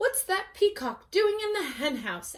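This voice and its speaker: Squeaky and extremely high-pitched, a woman performs a put-on character voice at a moderate pace with very wide pitch swings. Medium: read story.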